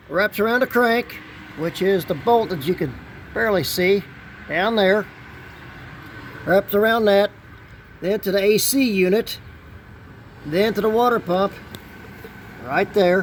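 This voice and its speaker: A man with a high voice talks fairly slowly, with long, frequent pauses. His pitch varies in an ordinary way, and background noise is noticeable. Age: 60s. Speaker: DIY auto mechanic YouTuber. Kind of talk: tutorial. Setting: outdoors. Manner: casual, conversational.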